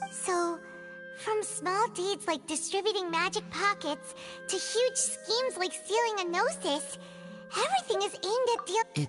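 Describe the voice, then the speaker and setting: A squeaky, put-on character voice moves at a moderate pace. Clear music plays in the background. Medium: video game. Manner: questioning.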